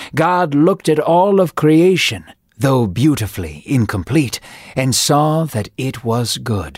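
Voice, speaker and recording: Over a very clean recording with a silent background, a man speaks in a dramatic tone at a fairly slow pace, his fairly high pitch swinging very widely. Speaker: story narrator. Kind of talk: scripted Bible story narration. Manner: dramatic, measured, storytelling cadence.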